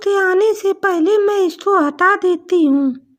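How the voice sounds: A cartoonish character voice, female-sounding and squeaky, extremely high-pitched, at a fairly slow pace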